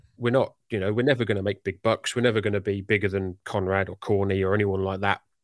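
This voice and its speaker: A man with a British accent speaks very fast at a fairly low pitch. The sound is dry and close with no echo, over a quiet background. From UK. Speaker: wrestling podcaster. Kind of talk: casual interview chat.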